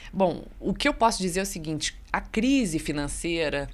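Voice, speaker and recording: This is a woman speaking. She has a Rio de Janeiro accent. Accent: Rio de Janeiro (fluminense). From Rio de Janeiro state interior, Barra Mansa. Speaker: journalist. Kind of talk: radio interview on news.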